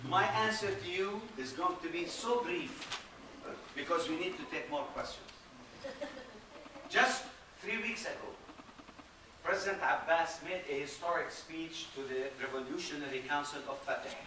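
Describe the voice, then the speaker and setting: Lively intonation marks a man with a high pitch, talking at a moderate pace with long, frequent pauses. Audible room echo and noticeable background noise fill the recording. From Palestine. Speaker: diplomat and political science professor. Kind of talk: public Q&A answer. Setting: public talk with audience. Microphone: speaking without microphone.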